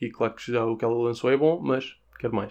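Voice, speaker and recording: A man speaks with a European Portuguese accent against a quiet background. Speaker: podcaster. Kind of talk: casual music review monologue. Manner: informal, conversational.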